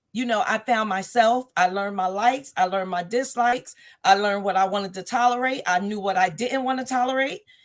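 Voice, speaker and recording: Speaking at a fairly quick pace with hardly any pauses, a woman has a fairly high pitch, ordinary pitch variation and an unremarkable speaking voice, on a very clean recording with a silent background. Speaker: talk show host and author. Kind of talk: casual conversational talk.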